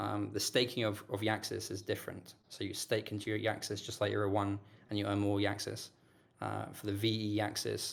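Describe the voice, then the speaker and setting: A man speaks fairly quickly with vocal fry, a fairly low pitch and a flat, monotone delivery. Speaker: crypto project team member. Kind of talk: casual chat. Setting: voice chat call. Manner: fast.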